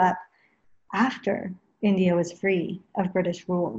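Somewhat breathy and dark, mellow in tone, a woman speaks with an American accent. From Los Angeles, US (early years in England). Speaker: yoga teacher. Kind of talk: interview.

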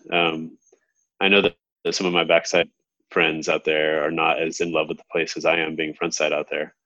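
A man with an American accent. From Southern California. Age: 30s. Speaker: big wave surfer. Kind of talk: casual interview.

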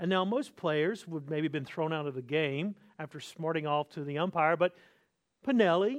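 A man speaks in a North Carolina accent. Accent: Southern US (North Carolina). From US South, North Carolina. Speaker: pastor. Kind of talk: sermon. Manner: repeats and restarts words.

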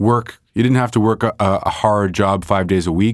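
With a Montreal accent, a man speaks at a fairly low pitch with fairly even intonation. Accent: Montreal anglophone Canadian. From Montreal, Canada (NDG). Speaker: painter. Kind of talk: casual interview conversation. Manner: halting, many false starts.

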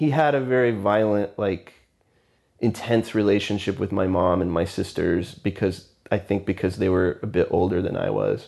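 A man with an American accent, fairly low pitch, ordinary pitch variation, very even loudness and a moderate pace. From Texas (Houston, then McAllen in the Rio Grande Valley). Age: 40s. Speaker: interviewee sharing life story. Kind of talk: oral history interview. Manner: casual, hesitant with fillers and laughs.

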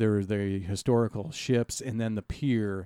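A man with an American accent speaks in a fairly low voice with a dark, mellow tone and ordinary pitch variation. The sound is dry and close with no echo, on a very clean recording with a silent background. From Iowa, US Midwest (Dubuque). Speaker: local history advocate. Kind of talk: casual interview chat.

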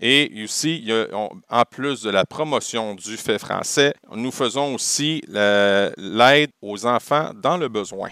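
A man with a Quebec accent speaks very slowly with hardly any pauses, using a bright, sharp tone, medium pitch and ordinary pitch variation, in a very clean, dry, close recording with a silent background and no echo. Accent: Québécois. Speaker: teacher and podcaster. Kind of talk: casual interview.

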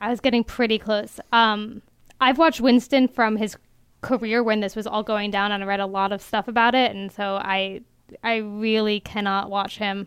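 With a plain, everyday voice, a woman speaks at a moderate pace and fairly high pitch, her intonation fairly even, on a very clean recording with a silent background. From Maryland. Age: 20s. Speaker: news reporter. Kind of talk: casual chat.

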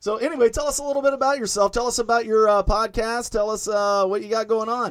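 A man at high pitch, talking at a very fast pace in an animated tone. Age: 50s. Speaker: podcast host. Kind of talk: casual banter, ad reading. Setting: home basement studio. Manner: joking, profane, animated.

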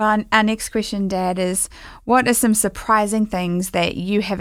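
A woman speaks at medium pitch and a moderate pace, with fairly even intonation, in an unremarkable speaking voice. The recording is very clean, with a silent background. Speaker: podcast co-host and musician. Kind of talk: casual podcast interview.

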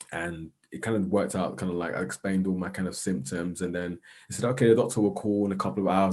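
Music plays in the background as a man speaks very fast in a South London accent. His pitch is very deep and low, his intonation fairly even. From South London, England. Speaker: social worker and arts organiser. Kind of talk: casual interview chat.

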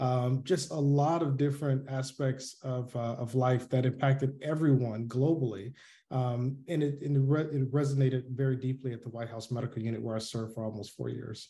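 In a somewhat breathy, dark and mellow voice with an American accent, a man talks at a fairly quick pace with hardly any pauses and fairly even intonation. The background is quiet. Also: medium pitch for a man. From US South, Atlanta, Georgia. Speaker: army veteran and public health physician. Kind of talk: interview. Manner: halting, many fillers.

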